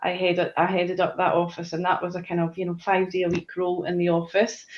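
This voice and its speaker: A woman with a Scottish accent, medium in pitch, at a fairly quick pace. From Scotland. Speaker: corporate manager. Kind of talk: live panel interview. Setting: video call from home.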